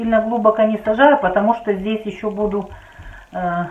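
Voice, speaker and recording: Loud background noise accompanies a woman as she speaks. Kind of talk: tutorial. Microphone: phone near.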